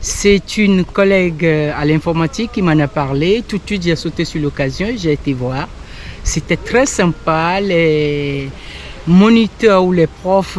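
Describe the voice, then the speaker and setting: Very slow speech from a woman with a fairly low voice and ordinary pitch variation, against noticeable background noise. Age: 60s. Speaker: cycling course participant. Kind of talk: interview.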